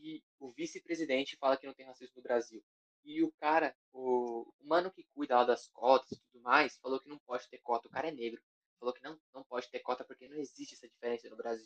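A man with a plain, everyday voice talks at a fairly quick pace and a medium pitch, his intonation fairly even but his loudness swinging widely, in a dry, close sound with no echo. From Guarulhos, São Paulo, Brazil. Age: young. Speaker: rapper. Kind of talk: casual chat.

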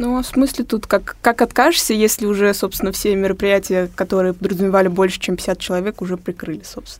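A woman speaks at a very fast pace with hardly any pauses. Her pitch is medium. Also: ordinary pitch variation. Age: 20s. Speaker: young discussion panelist. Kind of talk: casual discussion. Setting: studio.

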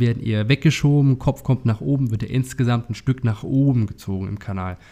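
A man's medium-pitched voice, dark and mellow in tone, with ordinary pitch variation and a fairly quick pace. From Saxony. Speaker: podcast host, rehab and performance coach. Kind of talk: casual chat.

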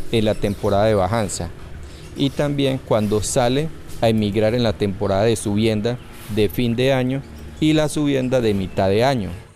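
A man speaks at medium pitch and a moderate pace, with ordinary pitch variation. Noticeable background noise runs underneath. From Colombia, Puerto Berrío area, Antioquia. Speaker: fishermen's federation leader. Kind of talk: interview testimony.

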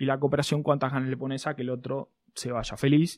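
Fairly quick speech in a Rioplatense accent, very clean and with a silent background. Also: man. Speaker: podcast host. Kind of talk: casual chat.

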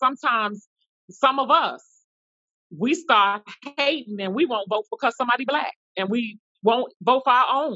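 Using a plain, everyday voice with an American accent, a woman speaks at a moderate pace and fairly high pitch with lively intonation. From New York. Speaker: discussion panelist. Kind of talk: group discussion.

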